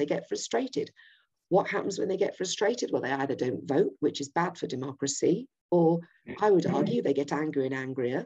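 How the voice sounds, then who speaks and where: A woman speaks with a Yorkshire accent. Her tone is dark and mellow against a quiet background. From Yorkshire, England. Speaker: political campaigner. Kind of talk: political presentation. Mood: earnest, persuasive. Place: home room. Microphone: webcam.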